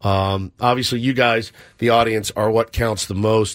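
On a very clean recording with a silent background, a man with an ordinary speaking voice and medium pitch speaks at a moderate pace. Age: 40s. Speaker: sports radio host. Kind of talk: sports talk radio.

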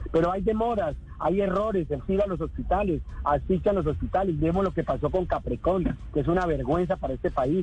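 Fairly quick speech from a man with a high pitch and ordinary pitch variation. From Colombia, Neiva (Huila). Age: 50s. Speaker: politician, vice-presidential candidate. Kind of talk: radio interview.

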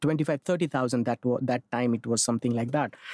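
There is a man speaking in a Marathi accent with ordinary pitch variation, the sound dry and close with no echo. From India, Mumbai. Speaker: theatre director and clown performer. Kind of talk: interview.

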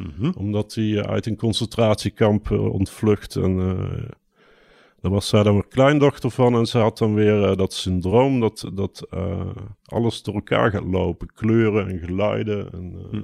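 A man with a dark, mellow tone and fairly low pitch speaks at a fairly slow pace with fairly even intonation, on a very clean recording with a silent background and a dry, close sound with no echo. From southern Netherlands, Brabant (Mierlo). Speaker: poet and designer. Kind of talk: casual interview. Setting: outdoors overlooking a bulb field.

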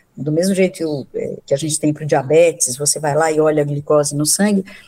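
In a dark, mellow tone, a woman speaks with ordinary pitch variation. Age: 60s. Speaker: psychiatrist and professor. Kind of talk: radio interview. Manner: halting, many fillers.

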